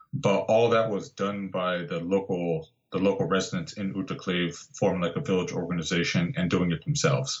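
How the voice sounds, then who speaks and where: Here is a man with an American accent and a normal speaking voice. His pitch is fairly low, his intonation lively, and his pace moderate. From Southern California (Santa Barbara). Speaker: landscape photographer and guidebook author. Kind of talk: casual interview.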